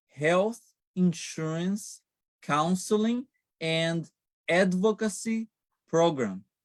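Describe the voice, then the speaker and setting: A man with a Brazilian accent speaks at a high pitch, his sound dry and close with no echo. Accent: Brazilian accent, noticeable. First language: Portuguese. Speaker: Medicare counselor. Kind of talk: interview. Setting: live stream.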